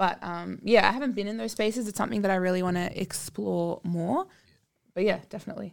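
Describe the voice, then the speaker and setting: At a very fast pace, a woman with an Australian accent talks in a medium-pitched voice. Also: ordinary pitch variation. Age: 20s. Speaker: singer. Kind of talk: casual chat.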